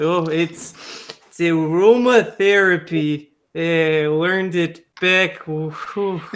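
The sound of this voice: At a very slow pace, a man talks in a fairly high pitch with a fairly bright tone and ordinary pitch variation.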